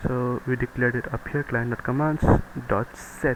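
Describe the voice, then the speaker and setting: Against noticeable background noise, a man talks at a medium pitch with monotone, flat intonation. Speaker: programming tutorial maker. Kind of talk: screen-recorded coding tutorial. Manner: casual, hesitant with fillers.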